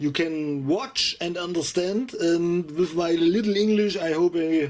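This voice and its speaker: Music plays in the background as the speaker talks at a very slow pace in a German accent. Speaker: electronics hobbyist youtuber. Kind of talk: tutorial. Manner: halting.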